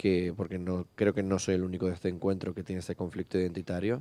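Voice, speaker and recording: A man speaks at a very deep, low pitch with a dark, mellow tone. The sound is dry and close with no echo, and the very clean recording has a silent background. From Canary Islands (La Orotava, Tenerife). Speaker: writer. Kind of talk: podcast interview.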